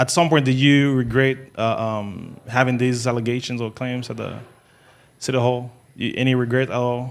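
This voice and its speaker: A man with a medium-pitched voice speaks in a flat, monotone way. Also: moderate pace. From Haiti. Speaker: interviewer. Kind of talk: interview. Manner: halting, many fillers.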